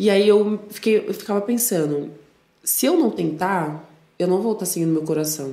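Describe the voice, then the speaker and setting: A woman with a São Paulo accent and lively intonation. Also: medium pitch for a woman, moderate pace. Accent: Paulistano Brazilian Portuguese. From São Paulo, Brazil (north zone). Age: 20s. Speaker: DJ. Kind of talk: casual chat.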